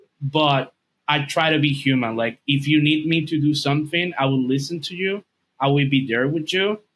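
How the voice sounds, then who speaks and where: A man with a Dominican accent and a fairly high pitch keeps a moderate pace, fairly even intonation, and very even loudness. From Dominican Republic. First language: Spanish. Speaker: video and podcast editor, English teacher. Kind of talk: podcast interview.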